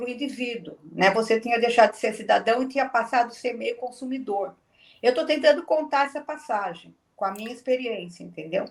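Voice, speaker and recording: This woman talks at a fairly quick pace in a high pitch with ordinary pitch variation. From Brazil, Santo André (Greater São Paulo). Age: 70s. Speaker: former political prisoner, information scientist. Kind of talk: interview testimony.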